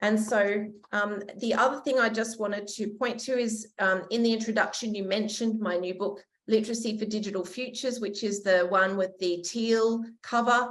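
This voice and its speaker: A woman with an Australian accent speaks at a moderate pace and a fairly high pitch, with fairly even intonation and audible room echo. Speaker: education researcher. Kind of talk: conference lecture.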